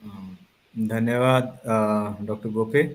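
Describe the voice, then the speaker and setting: His medium-pitched voice keeps a fairly even intonation throughout. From Punjab, India. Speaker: sports psychologist. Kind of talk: lecture. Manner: halting, many fillers.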